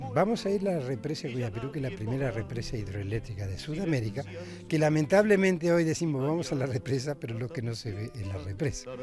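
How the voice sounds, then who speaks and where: With music in the background, the speaker talks at a very fast pace, the pitch swinging very widely. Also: man, medium pitch for a man. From Uruguay, Minas de Corrales (Rivera). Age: 70s. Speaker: tour guide and broadcaster. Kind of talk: guided tour explanation.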